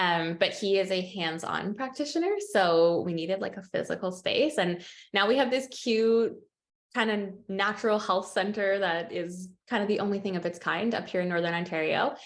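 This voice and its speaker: In a Canadian accent, a woman speaks at a moderate pace with ordinary pitch variation in a plain, everyday voice. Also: medium pitch for a woman. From Canada. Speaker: nutritionist and herbalist. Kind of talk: webinar presentation.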